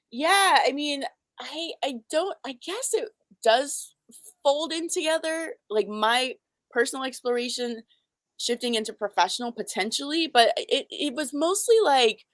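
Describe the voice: A woman's high voice at a fairly slow pace, lively in intonation, with a dry, close sound and no echo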